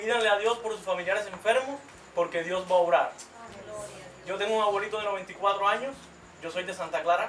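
A high-pitched man amid light background noise and audible room echo. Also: fairly even intonation, fairly quick pace. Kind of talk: religious testimony. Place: home room.

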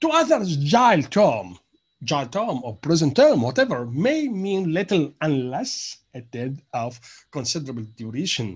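A man's fairly high, somewhat breathy voice with very wide pitch swings over a quiet background. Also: fairly slow pace. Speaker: university lecturer. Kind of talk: lecture.

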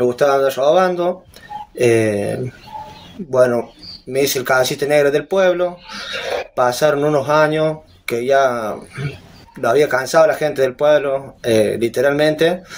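With light background noise, a man at a fairly high pitch speaks fairly slowly, leaving long, frequent pauses. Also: ordinary pitch variation. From Argentina, San Luis province. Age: 20s. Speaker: aspiring reality show contestant, father. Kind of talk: interview, personal testimony. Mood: earnest, confessional. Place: home room. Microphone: phone near.

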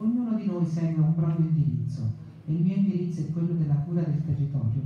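A woman's very deep, low voice at a fairly quick pace, with ordinary pitch variation and strong room echo. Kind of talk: formal public speech. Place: hall.

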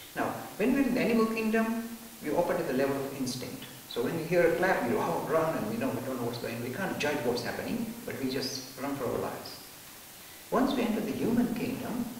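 With strong room echo and light background noise, a man with a high pitch talks at a very fast pace. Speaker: spiritual teacher. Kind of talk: lecture. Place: classroom.

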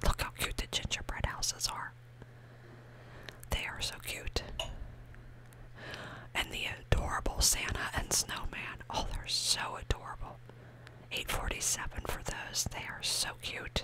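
A woman whispers breathily at a fairly slow pace, with long, frequent pauses. Noticeable background noise runs underneath. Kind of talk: ASMR shop-with-me ramble to camera. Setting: shop. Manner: breathy whisper, soft-spoken.

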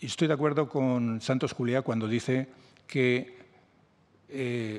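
Here a man talks at a very slow pace with a medium pitch. His intonation is fairly even, with light background noise behind him. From Spain. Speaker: journalist and book author; journalist. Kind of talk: interview at a book presentation. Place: meeting room. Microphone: podium.

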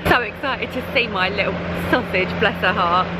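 Over loud background noise, a woman speaks at a fairly quick pace, her sound dry with no echo. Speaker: travel vlogger. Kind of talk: casual vlog chat. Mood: cheerful, slightly anxious. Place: station. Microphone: phone near.

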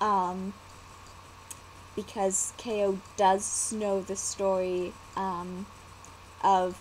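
A woman speaks at a medium pitch with monotone, flat intonation. Light background noise can be heard. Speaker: vlogger and storyteller. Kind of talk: casual talk to camera. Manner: hesitant, many fillers. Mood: cheerful, relaxed. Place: home room. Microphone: webcam.

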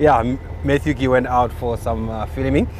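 A man speaking at a fairly slow pace, dry sound with no echo, light background noise. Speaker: safari guide driving. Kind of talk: live-stream commentary and greetings to viewers. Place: car.

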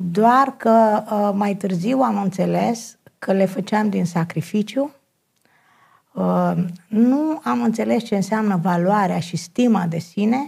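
On a very clean recording with a silent background, a woman speaks at a very slow pace with a medium pitch. Her intonation is lively and her voice is somewhat breathy. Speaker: personal development counselor. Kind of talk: TV talk show interview. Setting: TV studio.

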